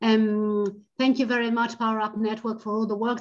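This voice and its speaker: A woman speaks with a fairly high pitch. Her pace is fairly quick. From Argentina. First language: Spanish. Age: 40s. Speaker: educational psychologist and financial coach. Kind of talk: webinar talk. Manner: halting, with repetitions.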